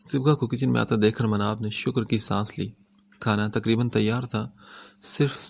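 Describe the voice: The passage is given plain reading aloud. Its intonation remains fairly even.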